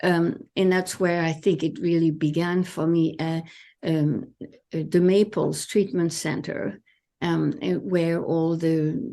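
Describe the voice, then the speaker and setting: Over a quiet background, a woman with a French accent speaks very slowly in a dark, mellow tone, fairly low in pitch with ordinary pitch variation. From France. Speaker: therapist. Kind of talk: interview. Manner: halting.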